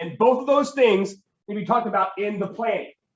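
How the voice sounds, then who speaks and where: A man's pitch varies in an ordinary way as audible room echo hangs around his speech. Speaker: teacher. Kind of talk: classroom lecture. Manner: fast.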